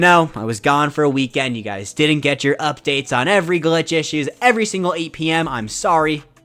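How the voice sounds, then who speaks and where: With an energetic, bright and sharp tone, a man speaks fairly quickly at a fairly high pitch with lively intonation. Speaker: gaming YouTuber. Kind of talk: video game news commentary. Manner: loud; fast, energetic.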